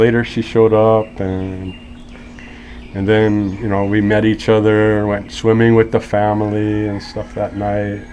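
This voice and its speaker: Relaxed in tone and with an American accent, the speaker keeps a moderate pace over noticeable background noise. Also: man. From US West Coast (Los Angeles). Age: 50s. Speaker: interview guest. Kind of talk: casual interview, storytelling. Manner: relaxed, chatty.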